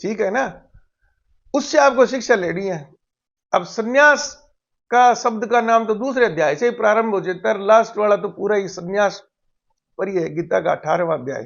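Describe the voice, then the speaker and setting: Pausing long and often, a man with a high pitch speaks in lively intonation. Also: moderate pace. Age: 60s. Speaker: retired physics lecturer, spiritual commentator. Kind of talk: casual spiritual talk to camera.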